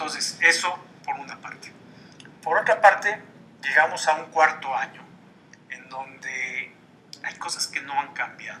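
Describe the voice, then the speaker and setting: A man at a fairly high pitch and fairly slow pace, with ordinary pitch variation, big swings in loudness and noticeable background noise. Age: 60s. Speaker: columnist and political commentator. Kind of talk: TV interview.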